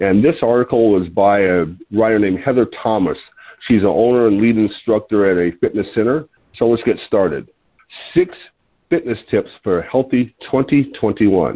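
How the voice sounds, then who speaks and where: A man with a normal speaking voice talks at a medium pitch and moderate pace with lively intonation. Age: 60s. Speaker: health product distributor hosting a weight-loss call. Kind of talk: conference call talk with tips. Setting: phone conference call. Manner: casual, some filler words.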